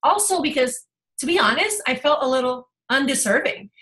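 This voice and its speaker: A woman speaks in a raised, projected voice. Her pitch is high and her pace fairly quick. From Puerto Rico. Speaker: life coach. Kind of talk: testimony.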